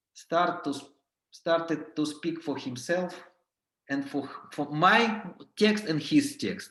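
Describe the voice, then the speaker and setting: Speaking with a non-native accent, a man talks at a very slow pace with long, frequent pauses, his pitch high and his intonation lively. His tone is bright and sharp, and audible room echo surrounds it. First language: not English. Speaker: clown and clown teacher. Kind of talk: workshop lecture. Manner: halting.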